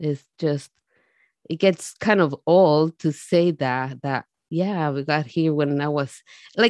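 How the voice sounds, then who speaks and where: A woman speaks with lively intonation, the sound dry and close with no echo over a quiet background. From Mexico, Jalisco. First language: Spanish. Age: 40s. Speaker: immigrant storyteller. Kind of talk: personal testimony.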